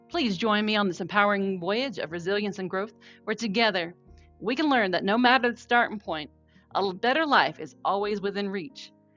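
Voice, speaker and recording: Music plays in the background as a woman with an American accent speaks at a fairly quick pace, with a medium pitch and lively intonation. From North Carolina, USA. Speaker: podcaster, trauma survivor. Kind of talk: podcast intro.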